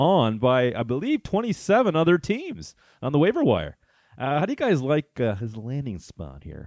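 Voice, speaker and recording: Very wide pitch swings in a Canadian accent. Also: man. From Ottawa, Canada. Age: 30s. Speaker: fantasy football podcast host. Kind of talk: casual chat.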